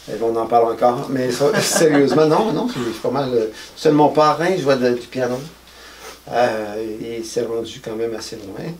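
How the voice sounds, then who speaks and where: A man's speech carries audible room echo, with noticeable background noise behind it. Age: 60s. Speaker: musician. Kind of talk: interview. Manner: halting.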